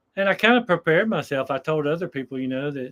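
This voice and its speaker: A man with a plain, everyday voice and a fairly high pitch talks at a moderate pace. The sound is dry and close, with no echo. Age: 60s. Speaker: retired long-distance hiker. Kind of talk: casual chat. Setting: live stream.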